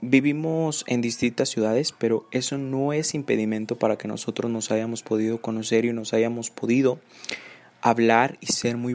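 A man talks in a plain, everyday voice at medium pitch. His intonation is fairly even and his pace moderate. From Nuevo León, Mexico. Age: 20s. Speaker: podcast host, university student. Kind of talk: casual podcast monologue.

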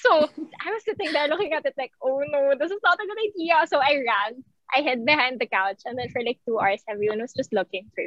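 Her pitch is high for a woman, with very wide swings. She speaks at a fairly quick pace. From Philippines. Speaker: medical school entrant. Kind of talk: casual interview.

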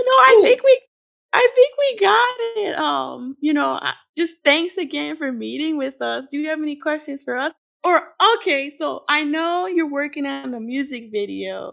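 A woman with an American accent speaks at a moderate pace with big swings in loudness. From Chicago. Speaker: podcast co-host and editor. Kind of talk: interview.

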